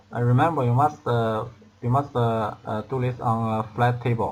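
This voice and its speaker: Speaking at a fairly slow pace, a man holds a medium pitch with monotone, flat intonation. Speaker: product assembly demonstrator. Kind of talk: tutorial. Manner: halting, many fillers and repetitions.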